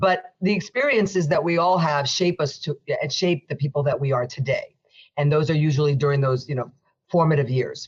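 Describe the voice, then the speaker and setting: Very deep and low in pitch, a woman speaks with an American accent and a somewhat breathy sound. Her pace is fairly quick, with ordinary pitch variation. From New Jersey, Union City. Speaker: federal judge. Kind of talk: interview.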